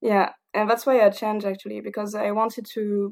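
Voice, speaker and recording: Captured in a very clean recording with a silent background, a woman speaks in a dark, mellow tone. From southern France, Toulouse. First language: French. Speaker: engineer. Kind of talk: casual interview. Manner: halting, many fillers; frequent laughter.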